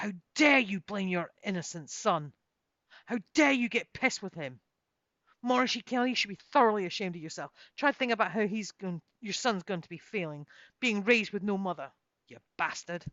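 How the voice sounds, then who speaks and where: A female-sounding voice at a medium pitch puts on a character voice at a fairly quick pace. Hissing runs through it. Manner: contemptuous, dark.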